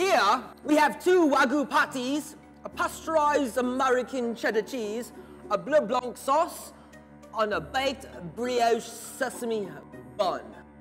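Faint music plays behind a woman with a high pitch. She speaks at a fairly slow pace with ordinary pitch variation. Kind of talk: scripted comedic dialogue. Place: bar.

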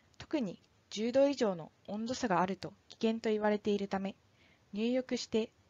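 Fairly high in pitch, a woman talks at a moderate pace with ordinary pitch variation. Hers is a plain, everyday voice. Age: 20s. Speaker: firefighter. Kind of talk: scripted narration.

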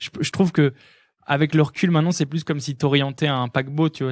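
A man with a fairly high pitch talks at a fairly quick pace in a plain, everyday voice. The recording is very clean with a silent background and a dry, close sound with no echo. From northern France, Lille. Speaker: electronic music producer and DJ. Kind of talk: casual interview chat. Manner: fast, filler-heavy.

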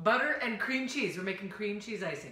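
A woman's speech carries audible room echo while music plays behind her. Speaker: home cooking show host. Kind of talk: tutorial. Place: kitchen. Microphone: camera far.

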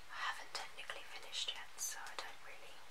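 The speaker is a woman. She moves along at a fairly quick clip. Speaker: ASMR creator. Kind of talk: ASMR soft-spoken talk. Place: home room. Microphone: phone near.

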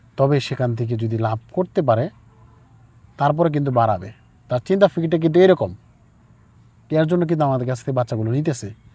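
A man's fairly high, somewhat breathy voice with a dark, mellow tone and lively intonation. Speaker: poultry farmer and chick seller. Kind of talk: on-farm interview and farming advice.

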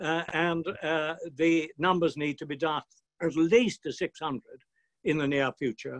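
Against a quiet background, a man with a British accent and a fairly high pitch speaks fairly slowly. His intonation is fairly even. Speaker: retired peer. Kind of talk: speech. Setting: video call. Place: home room. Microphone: webcam.

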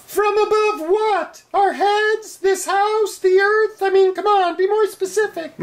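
A female-sounding, put-on character voice goes extremely high in pitch. The pace is fairly slow. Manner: sarcastic, dry.

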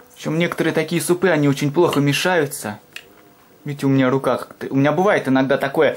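Speaking very fast, a man with a fairly high pitch keeps his intonation fairly even. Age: 20s. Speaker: video blogger doing food reviews; food reviewer vlogger. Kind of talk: casual vlog monologue. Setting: home kitchen. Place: home room. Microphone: phone near.

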